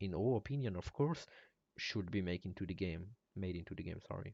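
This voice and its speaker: A man speaks with a non-native accent at a fairly low pitch, with ordinary pitch variation. The sound is dry and close with no echo, over a quiet background. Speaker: game modder. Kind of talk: live stream Q&A. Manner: halting.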